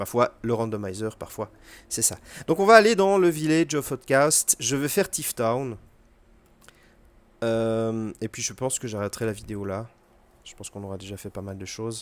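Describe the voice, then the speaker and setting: With a French accent, a man talks at a moderate pace and medium pitch, his lively intonation and big swings in loudness broken by long, frequent pauses. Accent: poor English pronunciation, self-remarked. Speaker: video game streamer. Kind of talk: gameplay tutorial commentary. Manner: casual, hesitant with fillers.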